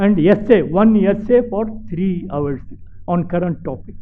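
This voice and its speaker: A man with a high voice speaks with ordinary pitch variation, and some room echo can be heard. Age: 90s. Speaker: retired civil servant. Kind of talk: speech to students. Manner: halting.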